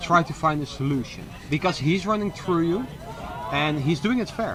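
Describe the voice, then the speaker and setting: Noticeable background noise sits behind a man speaking at a moderate pace, high in pitch with ordinary pitch variation. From Netherlands. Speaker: sports commentator. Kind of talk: live commentary.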